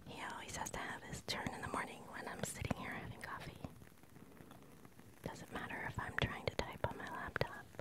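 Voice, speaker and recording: Soft-spoken whispering in a dry sound with no echo. Loud background noise fills the clip. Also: moderate pace. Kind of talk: casual reflective chat. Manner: soft close ASMR whisper. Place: home room. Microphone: phone near.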